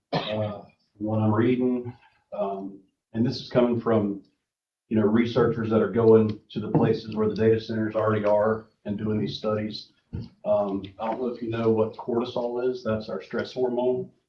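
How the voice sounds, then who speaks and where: A shaky man with an American accent, medium-pitched, with monotone, flat intonation and a moderate pace. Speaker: public commenter at county meeting. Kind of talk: public comment. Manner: shaky, hesitant.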